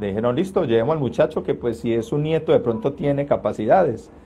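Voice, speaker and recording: A man with ordinary pitch variation. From Colombia, Caldas. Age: 30s. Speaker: trombonist. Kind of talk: interview. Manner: hesitant, many fillers.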